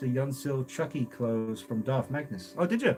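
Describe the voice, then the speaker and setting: Over background music, a man talks at a moderate pace. His pitch is medium and his intonation fairly even. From England. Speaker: toy collector streamer. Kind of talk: live stream chat.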